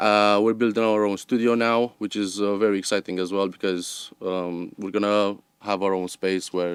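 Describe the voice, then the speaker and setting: With a non-native accent, a man speaks in a fairly low, monotone, flat voice. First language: not English. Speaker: sound recordist, company owner. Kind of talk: interview. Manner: hesitant, many fillers.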